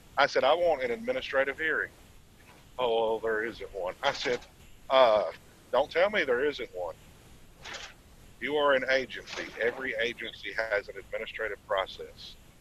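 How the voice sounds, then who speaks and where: With noticeable background noise behind him, a man of medium pitch talks with ordinary pitch variation and long, frequent pauses. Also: moderate pace. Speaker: truck driver. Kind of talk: casual chat. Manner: loud.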